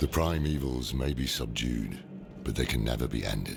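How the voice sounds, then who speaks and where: Using a put-on character voice, a man speaks at a moderate pace over loud background noise. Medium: video game.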